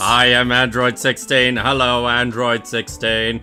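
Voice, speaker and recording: A man's robotic, put-on character voice at medium pitch, fairly slow pace, clear music in the background. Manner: monotone.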